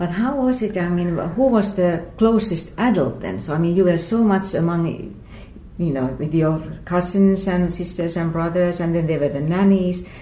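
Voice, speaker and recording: A woman's fairly low voice with a Finnish accent, somewhat breathy, dark and mellow in tone, at a moderate pace with ordinary pitch variation. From Finland (Lahti). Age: 50s. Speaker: book podcast host. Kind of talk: interview conversation. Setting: writers' festival venue.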